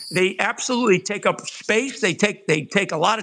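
A man's raised, projected voice, high-pitched with a bright, sharp tone and ordinary pitch variation, at a fairly quick pace in a very clean recording with a silent background. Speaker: guest commentator. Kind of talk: casual political discussion.

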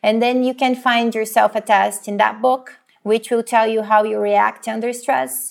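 A woman speaks at a fairly high pitch with a Portuguese accent. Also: ordinary pitch variation, moderate pace. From Brazil. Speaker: psychologist. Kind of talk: interview.

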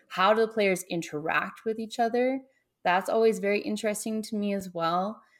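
On a very clean recording with a silent background, a woman speaks in a plain, everyday voice, fairly high in pitch, at a moderate pace with ordinary pitch variation. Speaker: game designer, YouTube creator. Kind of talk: casual interview chat.

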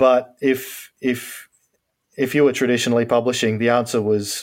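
A man speaks with an Australian accent and fairly even intonation. The recording is very clean, with a silent background. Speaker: novelist. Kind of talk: casual interview.

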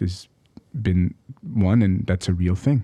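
Speaking with an Arabic accent at a fairly slow pace, a man has a very deep, low voice with a dark, mellow tone and ordinary pitch variation. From Egypt. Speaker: psychologist. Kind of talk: casual interview conversation.

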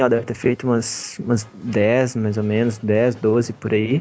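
Music plays in the background. A man speaks at a medium pitch. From Brazil, Belo Horizonte. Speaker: comics artist. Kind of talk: interview. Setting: video call.

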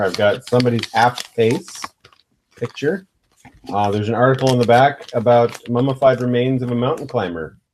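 Pitched at a medium level, a man speaks in a plain, everyday voice. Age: 40s. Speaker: podcast host. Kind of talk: casual chat.

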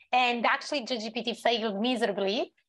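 The speaker talks at a fairly slow pace with a non-native accent. Intonation stays fairly even against a quiet background. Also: woman. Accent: foreign-accented English. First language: not English. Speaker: company CEO and panelist. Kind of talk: panel discussion. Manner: hesitant, filler-heavy.

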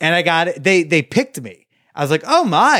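On a very clean recording with a silent background, a man talks at a fairly slow pace in a high pitch. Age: 20s. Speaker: podcast host on hookups and dating. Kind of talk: casual interview chat.

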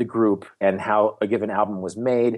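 A man is speaking. The background is quiet. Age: 40s. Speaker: travel writer and author. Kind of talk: casual interview. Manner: halting, with many repeated words.

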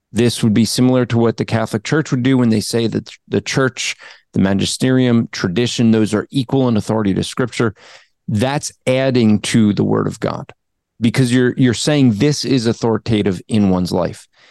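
In an American accent, a man with an unremarkable speaking voice talks at a medium pitch and moderate pace, with fairly even intonation, very even loudness, and a dry, close sound with no echo. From New Jersey. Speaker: apologist, author and podcaster. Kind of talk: casual Q&A interview answering theology questions.

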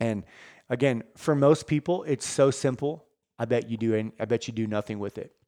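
Dark and mellow in tone, a man's voice comes across dry and close, with no echo. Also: medium pitch for a man, ordinary pitch variation, moderate pace. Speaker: fitness coach and podcast host. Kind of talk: motivational rant and pep talk; earnest direct-address pep talk to listeners. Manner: passionate, sincere, urgent.

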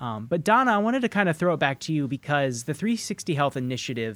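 This man's voice sits fairly high and moves through very wide pitch swings. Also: very clean recording, silent background. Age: 30s. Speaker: podcast host. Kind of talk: casual chat; scripted narration.

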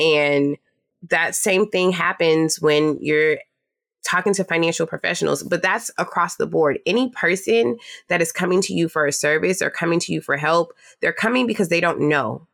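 With vocal fry and a fairly low pitch, a woman speaks at a moderate pace and very even loudness on a very clean recording with a silent background. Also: ordinary pitch variation. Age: 20s. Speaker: personal finance educator. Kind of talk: casual chat.

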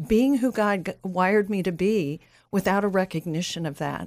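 Heard in a very clean recording with a silent background, a woman has an unremarkable speaking voice at a medium pitch with ordinary pitch variation. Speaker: ministry leader and coach. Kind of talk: casual chat. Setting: studio.

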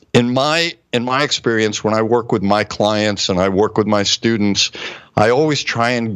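A man with an ordinary speaking voice and fairly low pitch is heard. He keeps a moderate pace and fairly even intonation. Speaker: co-host, medical doctor. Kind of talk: interview. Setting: online video show.

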